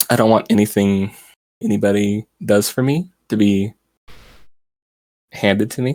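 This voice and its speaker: A man speaks quietly. The sound is dry and close, with no echo. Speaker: VTuber streamer. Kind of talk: interview. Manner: quiet, low volume.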